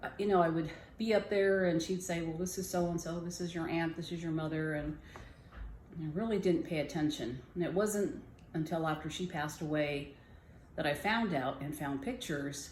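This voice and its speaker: With audible room echo around her, a woman speaks somewhat breathily at a moderate pace, fairly low in pitch with ordinary pitch variation and long, frequent pauses. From Southern California, Jamul reservation. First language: Kumeyaay. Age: 60s. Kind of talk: personal storytelling. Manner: halting.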